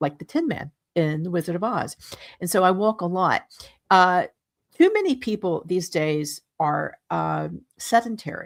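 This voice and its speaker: A woman with a normal speaking voice talks at a moderate pace and medium pitch, with ordinary pitch variation, in a dry, close sound with no echo. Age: 60s. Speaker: radio host. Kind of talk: radio interview. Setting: radio show.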